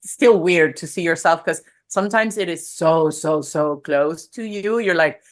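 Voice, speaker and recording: Speaking with a Spanish accent at a moderate pace, a woman uses ordinary pitch variation on a very clean recording with a silent background. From Venezuela. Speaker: personal brand strategist and photographer. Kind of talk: podcast interview. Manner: casual, with frequent fillers and repetitions.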